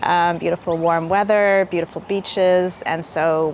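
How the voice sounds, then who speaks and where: Over noticeable background noise, a woman with a Canadian accent talks at a fairly low pitch with ordinary pitch variation. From Canada, Hamilton, Ontario. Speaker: local government sustainability officer. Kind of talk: interview. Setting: live stream.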